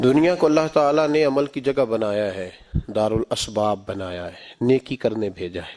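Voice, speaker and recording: A man at medium pitch, with lively intonation and big swings in loudness. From Pakistan. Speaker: Islamic scholar and preacher. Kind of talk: Islamic sermon (bayan) to a congregation. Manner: passionate, emphatic, preaching tone.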